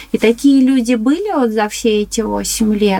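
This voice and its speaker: A woman speaks in a normal speaking voice at a fairly slow pace, her fairly high pitch moving with ordinary variation. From Moscow, Chertanovo district. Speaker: ceramic artist. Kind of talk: interview.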